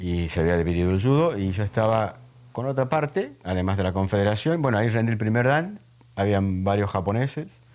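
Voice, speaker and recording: A man is talking at a fairly quick pace. His voice sits fairly low. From Argentina, Santiago del Estero. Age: 60s. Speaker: judo master. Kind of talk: interview. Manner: halting with fillers.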